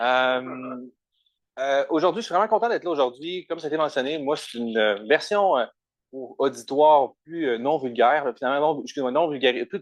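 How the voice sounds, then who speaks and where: A fairly quick, lively-toned delivery in a Quebec accent. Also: man. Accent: Québécois French. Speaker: doctoral researcher in computer science. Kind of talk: conference talk. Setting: conference room with audience, also streamed online. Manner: fast.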